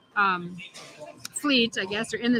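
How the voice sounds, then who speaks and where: A woman at a moderate pace with ordinary pitch variation, in a dry, close sound with no echo and noticeable background noise. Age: 60s. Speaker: bowling livestream co-commentator. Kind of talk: live commentary. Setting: bowling alley. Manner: casual, halting with repetitions.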